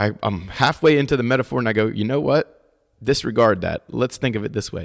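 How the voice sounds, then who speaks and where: With an American accent, a man talks at a fairly quick pace and medium pitch, his intonation lively and the sound dry and close with no echo. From US Mid-Atlantic, Delaware near Philadelphia. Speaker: podcast host, martial arts teacher. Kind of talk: casual chat.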